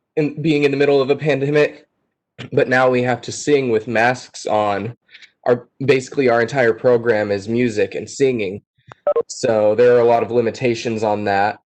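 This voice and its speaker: This man has an unremarkable speaking voice, a medium pitch, fairly even intonation and a moderate pace. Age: young. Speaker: music student. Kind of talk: panel Q&A.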